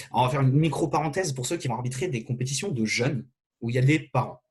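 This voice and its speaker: Somewhat breathy, a man with a medium pitch speaks very fast with ordinary pitch variation. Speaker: fencing referee giving a training session. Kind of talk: online lecture.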